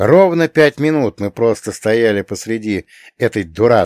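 Lively intonation in an unforced reading voice

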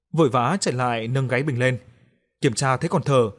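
The room behind is quiet. What we hear is a natural reading voice.

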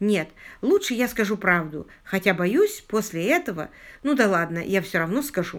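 A natural reading voice rises and falls with lively intonation.

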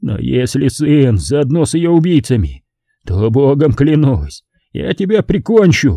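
The put-on character voice is hoarse and swings very widely in pitch. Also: man, medium pitch for a man, moderate pace. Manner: threatening.

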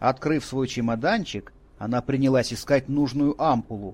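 The reading is delivered in an unforced voice.

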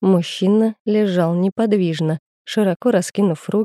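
It is a natural reading voice. The background is quiet.

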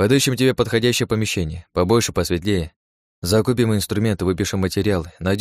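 Reading aloud in a natural voice, with ordinary pitch variation against a quiet background.

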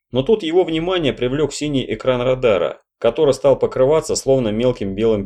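A natural voice reads aloud with only a quiet background behind it.

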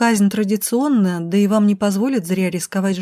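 It is read in a natural reading voice.

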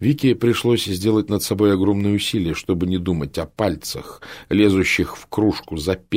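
This clip features reading aloud in a natural voice.

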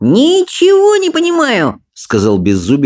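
Natural-voiced reading aloud against a quiet background.

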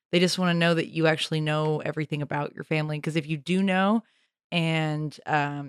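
A woman with an American accent speaks in a very deep, low voice at a moderate pace. Her intonation is monotone and flat, and the recording is very clean with a silent background. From US South, Nashville, Tennessee. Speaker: comedy producer and podcast co-host. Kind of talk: casual comedic chat.

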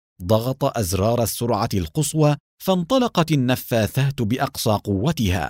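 The delivery is an unforced reading voice with lively intonation. The background is quiet.

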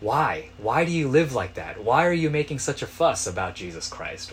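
A man with a normal speaking voice, fairly high in pitch, at a moderate pace. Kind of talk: sermon. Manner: earnest, exhortative preaching, urgent imperatives.

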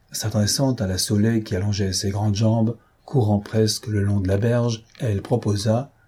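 Here is plain reading aloud. The intonation stays fairly even.

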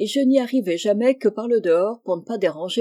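The clip consists of plain reading aloud.

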